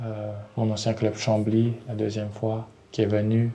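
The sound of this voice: A man talks at a fairly slow pace in a fairly low pitch, his tone dark and mellow. His intonation is monotone and flat.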